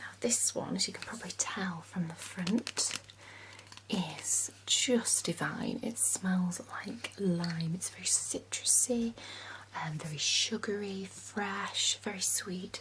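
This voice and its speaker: At a very slow pace, a woman whispers in a calm tone against noticeable background noise. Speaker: ASMR content creator. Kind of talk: perfume shop sales role play. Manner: soft-spoken, friendly, calm.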